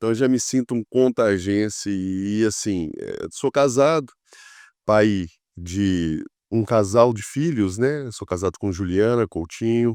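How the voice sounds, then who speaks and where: Very slow speech with ordinary pitch variation, in a dry, close sound with no echo, on a very clean recording with a silent background. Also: man, fairly low pitch for a man. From Minas Gerais, Brazil (Contagem, near Belo Horizonte). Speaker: city councillor, politician. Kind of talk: podcast interview.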